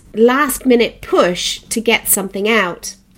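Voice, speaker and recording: On a very clean recording with a silent background, a woman with a fairly high pitch speaks at a fairly slow pace in an unremarkable speaking voice. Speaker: podcast host. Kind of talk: interview; solo podcast monologue.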